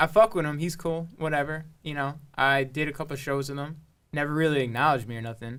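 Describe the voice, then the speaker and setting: At a fairly quick pace, a man talks in a fairly high pitch with fairly even intonation. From Long Island, New York. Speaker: rapper and producer. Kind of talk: casual podcast chat.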